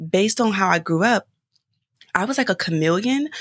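With a plain, everyday voice and an American accent, a woman speaks with lively intonation in a dry, close recording with no echo. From Philadelphia, US. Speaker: speaker and podcast guest. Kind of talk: casual chat.

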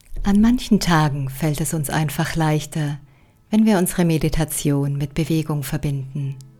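A calm, soothing tone with ordinary pitch variation plays over music in the background. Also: woman, very deep, low pitch for a woman. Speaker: meditation guide. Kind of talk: guided meditation. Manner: slow, calm, soothing; gently instructive, with long pauses.

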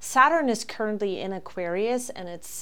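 A woman's lively intonation at a fairly slow pace, with audible room echo. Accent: German. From Germany. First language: German. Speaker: astrologer and podcast host. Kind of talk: solo podcast monologue. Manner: hesitant, with frequent fillers.

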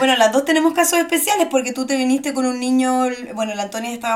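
Noticeable background noise surrounds a woman's voice. Her pitch is high, with ordinary variation. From Chile. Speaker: podcast co-host. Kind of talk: casual chat.

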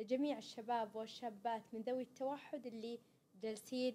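A woman with a dark, mellow tone speaks with fairly even intonation. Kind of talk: interview.

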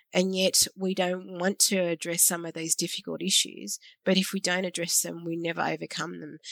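Speaking with an Australian accent, a woman has a fairly low pitch and fairly even intonation. Her moderate pace comes through in a dry, close sound with no echo. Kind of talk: interview conversation.

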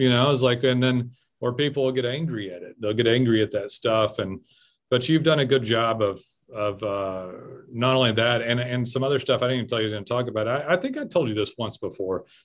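A man speaks at a fairly quick pace in a plain, everyday voice. His medium pitch shows ordinary variation. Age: 40s. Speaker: podcast host. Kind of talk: casual chat.

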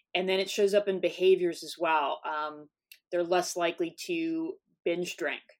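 Speaking in an American accent, a woman with a fairly low pitch uses a monotone, flat intonation. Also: moderate pace. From US South. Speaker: psychology professor. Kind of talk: interview.

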